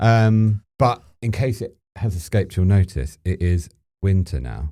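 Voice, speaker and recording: Speaking with an English accent at a fairly slow pace, a man uses lively intonation in a very deep, low pitch. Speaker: podcast co-host. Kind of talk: casual chat.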